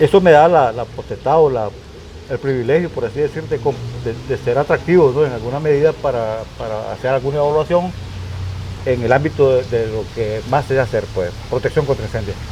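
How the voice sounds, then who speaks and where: With noticeable background noise, a man of medium pitch talks at a fairly quick pace. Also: ordinary pitch variation. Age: 60s. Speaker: retired firefighter commander, fire protection specialist. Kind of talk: interview. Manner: halting, many repetitions.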